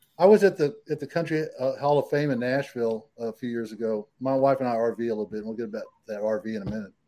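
A man with a Texan accent at a medium pitch, very fast pace and hardly any pauses, dark and mellow in tone, with ordinary pitch variation. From Texas, San Antonio. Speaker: country singer-songwriter. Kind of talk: casual interview chat.

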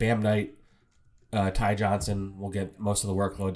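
A fairly low-pitched man's voice at a moderate pace. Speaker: podcast host covering the Jets. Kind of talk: casual sports chat.

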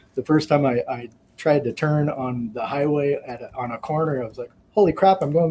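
Speaking at a fairly quick pace, a man has a fairly high, somewhat breathy voice. His tone is dark and mellow, with ordinary pitch variation. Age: 50s. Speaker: long-distance motorcycle rider. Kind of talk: casual chat.

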